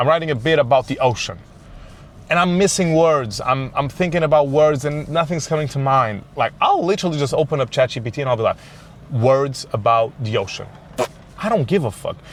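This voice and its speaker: Speaking at a fairly quick pace with a Portuguese accent, a man uses a fairly high pitch and an animated tone. His pitch varies in an ordinary way. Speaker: comedian. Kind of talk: casual monologue podcast. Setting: in a car.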